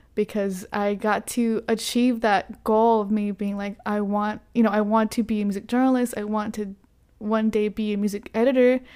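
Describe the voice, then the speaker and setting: A woman with an American accent speaks in a dark, mellow tone at a fairly high pitch, her intonation monotone and flat. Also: moderate pace. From Texas, Carrollton near Dallas. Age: 20s. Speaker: journalist. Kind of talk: casual interview.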